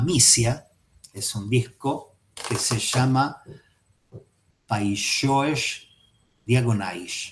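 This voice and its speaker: A man with a Rioplatense accent speaks very slowly at a medium pitch. His voice is somewhat breathy, with ordinary pitch variation. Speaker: psychoanalysis teacher. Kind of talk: lecture.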